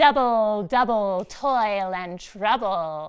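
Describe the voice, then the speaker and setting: Using a put-on character voice, a woman talks very slowly in a nasal tone at a medium pitch. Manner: crafty, cackling.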